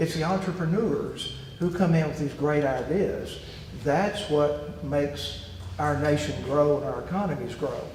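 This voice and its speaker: A fairly high-pitched man with an Arkansas accent and ordinary pitch variation, amid noticeable background noise and audible room echo. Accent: Southern US (Arkansas). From US South, Arkansas Delta (Dermott). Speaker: businessman and investor. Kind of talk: interview. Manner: halting.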